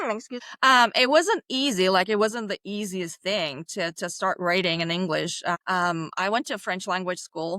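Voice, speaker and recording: Medium-pitched and bright, sharp in tone, a woman talks at a moderate pace with ordinary pitch variation, the very clean recording dry, close, echo-free and silent behind her. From Bulgaria. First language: Bulgarian. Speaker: children's book author. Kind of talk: interview.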